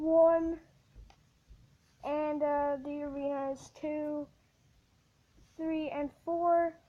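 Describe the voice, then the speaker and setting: A woman speaks at a very slow pace and a high pitch. Her intonation is monotone and flat. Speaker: gaming youtuber. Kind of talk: casual video commentary. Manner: halting, many fillers and self-corrections.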